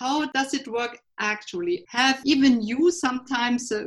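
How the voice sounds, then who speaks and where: A woman's somewhat breathy voice with a German accent, lively intonation and a fairly slow pace. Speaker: podcast host. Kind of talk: interview. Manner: halting.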